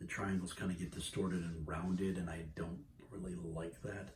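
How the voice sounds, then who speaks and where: A man with a very deep, low pitch and a somewhat breathy sound speaks at a moderate pace over noticeable background noise. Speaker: video game logo tutorial maker; gamer showing a logo design. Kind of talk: tutorial. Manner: hesitant with fillers. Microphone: phone near.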